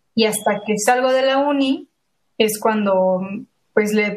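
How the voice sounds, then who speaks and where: A woman with a plain, everyday voice speaks at a fairly high pitch, keeping her intonation fairly even. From Mexico, San Luis Potosí. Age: 20s. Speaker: illustrator and graphic designer. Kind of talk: casual interview chat.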